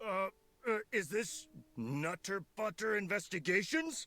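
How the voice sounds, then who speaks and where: A put-on character voice at a middle pitch speaks at a fairly slow pace on a very clean recording with a silent background. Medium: video game. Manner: stammering, timid.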